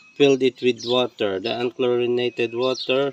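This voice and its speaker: The speaker has a Filipino accent. Noticeable background noise is present. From Philippines. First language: Tagalog. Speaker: backyard farmer. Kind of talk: tutorial. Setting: outdoors. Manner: halting.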